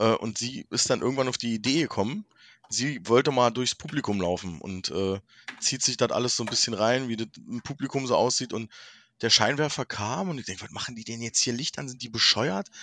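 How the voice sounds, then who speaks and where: Speaking with a Berlin accent at a fairly quick pace, a man has a medium-pitched voice with a bright, sharp tone and a dry, close sound with no echo. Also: ordinary pitch variation, quiet background. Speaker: podcast guest. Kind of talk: casual chat.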